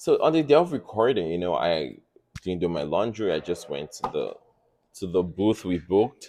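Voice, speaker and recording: With a slight non-native accent, a man speaks at a moderate pace in a very deep, low voice with a dark, mellow tone. His pitch swings very widely and his loudness shifts a great deal. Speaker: podcast guest. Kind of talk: casual chat. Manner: animated storytelling.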